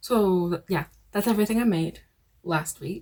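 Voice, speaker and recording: A somewhat breathy woman's voice at a moderate pace, with ordinary pitch variation. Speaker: crochet vlogger. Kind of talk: casual vlog.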